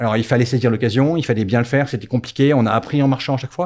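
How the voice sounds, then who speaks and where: The man's speech has ordinary pitch variation. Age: 50s. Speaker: company founder. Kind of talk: casual interview. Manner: halting, many repetitions.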